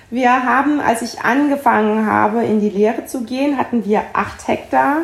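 With an ordinary speaking voice, a woman talks at a moderate pace in a fairly high pitch. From Palatinate, Germany. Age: 40s. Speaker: winemaker. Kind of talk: interview.

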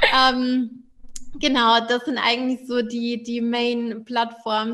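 A woman's high, monotone voice, flat in intonation and very slow. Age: 20s. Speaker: financial coach and entrepreneur. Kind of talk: casual interview.

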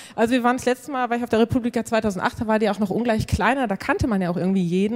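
A woman speaking very fast, dark and mellow in tone, with fairly even intonation. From Münsterland, Germany. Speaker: cartoonist and blogger. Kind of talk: live stage interview. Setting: stage with audience.

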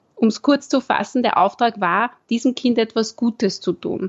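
Very slowly, a woman speaks. Her pitch shows ordinary variation. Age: 20s. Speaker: primary school teacher. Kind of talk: interview. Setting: video call.

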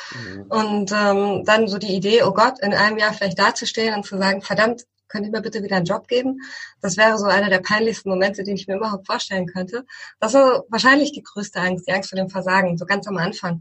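At a very fast pace, a woman talks at a medium pitch with fairly even intonation. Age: 40s. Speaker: tech company founder. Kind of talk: interview.

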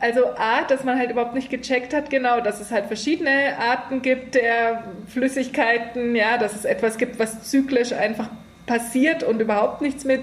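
There is noticeable background noise as a woman speaks at a moderate pace. Her voice is high-pitched, with fairly even intonation. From Germany, rural. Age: 30s. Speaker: columnist. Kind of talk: casual interview.

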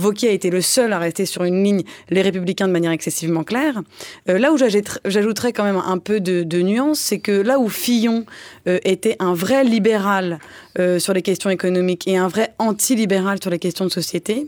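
The woman talks at a moderate pace and medium pitch. Her pitch varies in an ordinary way while her loudness stays very even. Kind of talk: satirical panel discussion. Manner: higher pitch than usual.

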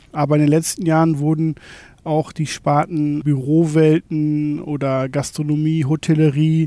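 A man's fairly high-pitched voice. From Germany, North Rhine-Westphalia. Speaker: shopfitting company manager. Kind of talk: interview.

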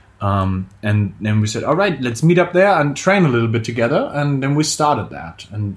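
This man speaks with a German accent at a moderate pace and medium pitch. His voice is somewhat breathy, with lively intonation. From Germany. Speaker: calisthenics coach and podcast co-host. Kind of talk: casual chat.

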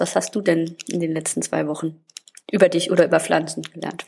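Fairly low in pitch, a woman talks at a fairly quick pace in an unremarkable speaking voice. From Saarland, Germany. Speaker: podcast co-host. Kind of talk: casual chat.

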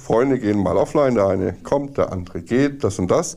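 A man speaks with lively intonation and a dark, mellow tone. The recording is very clean, with a silent background. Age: 40s. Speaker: former gaming addict, service technician. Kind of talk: interview testimony.

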